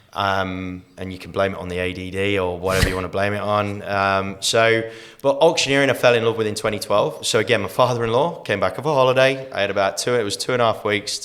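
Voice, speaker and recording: A man talks at a very fast pace with hardly any pauses, in an Australian accent. His pitch is fairly low, with ordinary pitch variation. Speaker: master auctioneer, real estate trainer and mentor. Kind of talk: casual podcast interview answer, storytelling.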